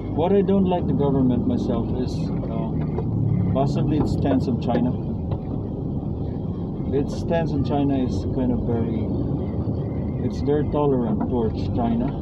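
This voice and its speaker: Loud background noise surrounds a man speaking at a moderate pace. He leaves long, frequent pauses. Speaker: driver vlogger. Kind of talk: casual vlog chat. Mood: calm reflective opinions. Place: car. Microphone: camera far.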